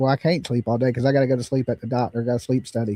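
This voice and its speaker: A man with a Southern US accent and a dark, mellow tone, dry and close with no echo, against a quiet background. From US South. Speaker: true crime livestream host. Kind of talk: casual livestream talk.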